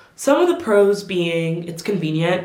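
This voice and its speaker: A woman's fairly low voice at a moderate pace, with noticeable background noise and audible room echo. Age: 20s. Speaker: lifestyle vlogger. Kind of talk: casual advice talk to camera. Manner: conversational, animated.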